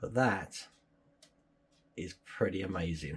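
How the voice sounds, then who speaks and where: A somewhat breathy man with a British accent, at a very slow pace. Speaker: model-building YouTuber. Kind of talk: tutorial.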